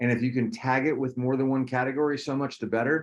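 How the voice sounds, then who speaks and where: Very fast delivery from a man at medium pitch, with fairly even intonation. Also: quiet background. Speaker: teacher. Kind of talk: online class orientation.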